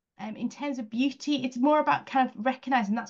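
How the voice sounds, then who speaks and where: Somewhat breathy woman's voice at a fairly quick pace with fairly even intonation. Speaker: independent advisor to schools on spiritual flourishing. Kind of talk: online presentation.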